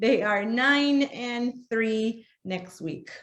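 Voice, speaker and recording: A woman's fairly high voice with a Spanish accent and lively intonation. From Argentina. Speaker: essential oils workshop presenter. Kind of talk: workshop presentation.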